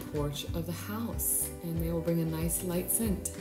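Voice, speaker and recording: A woman speaks with clear music playing in the background. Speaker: home renovation vlogger. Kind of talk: casual vlog chat. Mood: cheerful, upbeat. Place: garden. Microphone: phone near.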